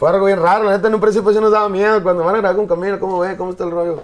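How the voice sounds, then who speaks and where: A man talks at a very fast pace in a high pitch. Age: 20s. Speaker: musician. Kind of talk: casual interview chat.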